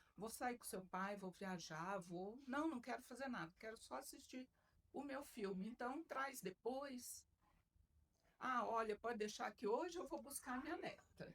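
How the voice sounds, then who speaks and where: Here a woman talks at a fairly slow pace. Her high voice carries lively intonation. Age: 60s. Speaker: retired military officer and mentor. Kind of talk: podcast interview.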